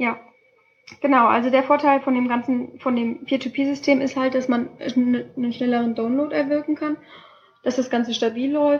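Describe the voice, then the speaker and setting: The speech comes at a moderate pace in a monotone, flat intonation. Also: woman, high pitch for a woman. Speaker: student podcast co-host. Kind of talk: casual explanatory chat. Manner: halting. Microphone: laptop mic.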